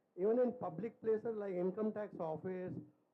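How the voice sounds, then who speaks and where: Fairly even intonation marks this man's speech, which runs at a moderate tempo. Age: 70s. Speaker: chartered accountant asking a question. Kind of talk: audience question at public forum.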